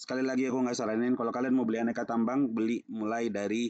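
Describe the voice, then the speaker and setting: Recorded with a dry, close sound and no echo, a man speaks very fast at a medium pitch in a dark, mellow tone. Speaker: stock market youtuber. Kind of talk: casual market commentary. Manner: casual, hesitant with many fillers.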